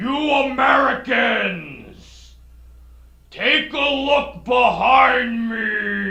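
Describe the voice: Shouting in a put-on character voice, fairly high-pitched and menacing, at a very slow pace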